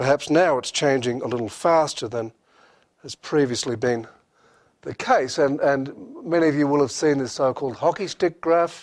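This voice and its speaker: A man with an Australian accent speaks at a moderate pace and a fairly high pitch. His pitch varies in an ordinary way against a quiet background. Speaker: professor. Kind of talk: lecture. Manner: hesitant, many fillers.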